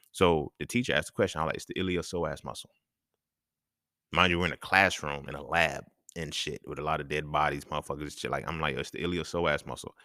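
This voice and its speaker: A man with a very deep, low pitch talks at a very fast pace, his bright, sharp tone edged with vocal fry. His intonation stays fairly even while his loudness swings widely, in a very clean recording with a silent background. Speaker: podcaster. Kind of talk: casual monologue. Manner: soft-spoken; laid back.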